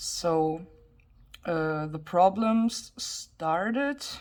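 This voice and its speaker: A woman speaks at a medium pitch. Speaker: youtuber, coloring hobbyist. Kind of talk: casual chat. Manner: halting.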